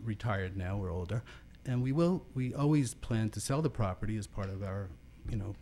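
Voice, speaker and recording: A man speaks fairly quickly in a fairly low, somewhat breathy voice. His tone is dark and mellow, and his intonation is lively. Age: 60s. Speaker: property owner giving public comment. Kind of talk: public comment at city meeting. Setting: city planning commission meeting.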